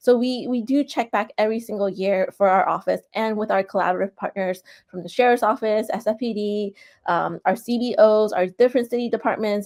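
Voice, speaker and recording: In an ordinary speaking voice with an American accent, a woman talks at a fairly high pitch and a fairly quick pace with ordinary pitch variation, recorded very cleanly against a silent background with a dry, close sound and no echo. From San Francisco, US West Coast. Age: 40s. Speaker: political candidate. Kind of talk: interview. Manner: casual, filler-heavy.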